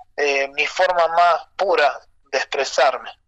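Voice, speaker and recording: This man has a normal speaking voice, pitched fairly high, and talks at a fairly slow pace with fairly even intonation. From Argentina, Rosario and Santiago del Estero. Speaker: folk violinist. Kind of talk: interview.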